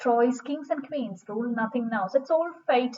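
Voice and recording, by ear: A woman's high-pitched voice, slightly mellow in tone, with ordinary pitch variation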